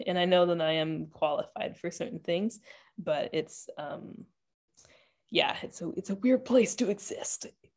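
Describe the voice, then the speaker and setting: A woman with a Canadian accent and an ordinary speaking voice, fairly low pitch and moderate pace, against a quiet background. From Ontario, Canada (Whitby, Toronto area). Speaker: yoga instructor and entrepreneur. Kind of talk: interview conversation.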